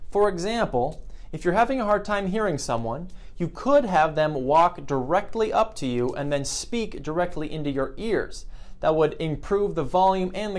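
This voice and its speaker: Speaking at a moderate pace, a man uses a high pitch. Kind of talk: tutorial. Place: office.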